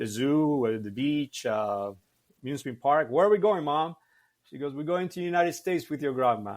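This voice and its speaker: A man with a Cuban accent, lively intonation and a fairly quick pace, on a very clean recording with a silent background. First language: Spanish. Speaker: martial arts instructor. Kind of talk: podcast interview. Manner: halting, many fillers.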